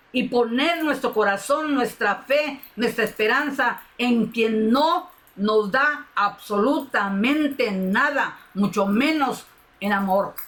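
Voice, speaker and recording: A woman speaks at a very slow pace and a high pitch, her loudness very even. Noticeable background noise runs underneath. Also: ordinary pitch variation. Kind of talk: sermon. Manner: emotional, impassioned.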